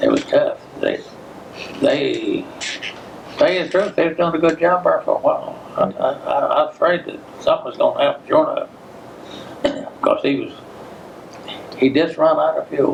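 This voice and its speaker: With a Tennessee accent, a man speaks at a moderate pace, leaving long, frequent pauses over noticeable background noise. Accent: Southern American (Tennessee). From Giles County, Tennessee. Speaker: World War II veteran. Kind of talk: oral history interview answer.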